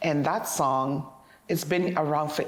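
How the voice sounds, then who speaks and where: The woman's pitch is very deep and low. Audible room echo surrounds her voice. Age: 50s. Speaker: interviewee on aging. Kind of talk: interview.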